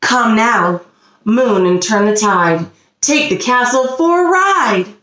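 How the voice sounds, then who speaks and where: A woman puts on a character voice with a cackle. Her pitch sits fairly high and her pace is fairly slow. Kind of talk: read-aloud story for young children. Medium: read story. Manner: cackling, gleeful.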